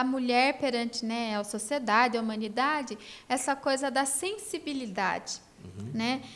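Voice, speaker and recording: A high-pitched woman at a fairly slow pace, with ordinary pitch variation. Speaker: podcast co-host, union director. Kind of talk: casual music discussion.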